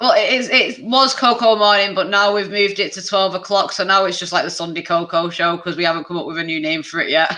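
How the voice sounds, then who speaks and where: Speaking very fast with hardly any pauses, a woman with a British accent holds a medium pitch with ordinary pitch variation. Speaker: activist and streamer. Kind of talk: casual chat.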